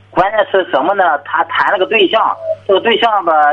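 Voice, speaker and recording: Over noticeable background noise, a man talks fairly quickly in a high voice with lively intonation. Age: 40s. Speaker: caller. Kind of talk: call-in advice conversation. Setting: phone call.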